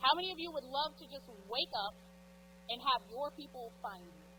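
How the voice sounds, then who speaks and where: Noticeable background noise accompanies this woman. She speaks at a moderate pace and a fairly high pitch. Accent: American. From East Texas. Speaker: realtor and business coach. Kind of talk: conference talk. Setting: stage with audience. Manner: loud; informal.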